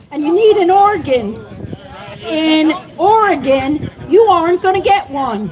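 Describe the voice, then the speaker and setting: A fairly slow, animated voice with lively intonation and a Southern US accent, over noticeable background noise. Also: woman. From US South, North Carolina. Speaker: cannabis advocate. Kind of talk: public speech. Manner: animated, rousing.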